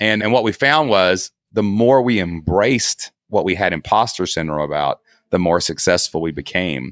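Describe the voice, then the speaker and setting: Using lively intonation, a man with an Appalachian accent speaks at a moderate pace in a very deep, low voice. The sound is dry and close, with no echo. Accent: Appalachian Southern US. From southeast Kentucky. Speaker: online entrepreneur, former teacher. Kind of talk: casual interview. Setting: video call from guest bedroom.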